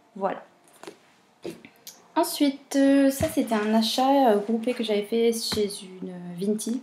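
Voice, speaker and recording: Quietly, a woman speaks at a fairly high pitch and a very slow pace with ordinary pitch variation and long, frequent pauses. Music plays in the background. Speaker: booktuber. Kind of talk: casual vlog talk. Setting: at home, baby napping nearby. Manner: hesitant.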